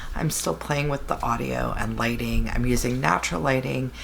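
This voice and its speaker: A woman speaks quietly amid noticeable background noise and audible room echo. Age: 40s. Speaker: beauty vlogger. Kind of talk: product review. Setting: home, beside napping baby. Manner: lowered, quieter voice; casual with fillers.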